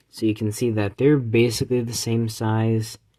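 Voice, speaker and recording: At a fairly slow pace, the voice comes through on a very clean recording with a silent background. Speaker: toy reviewer. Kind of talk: toy review video.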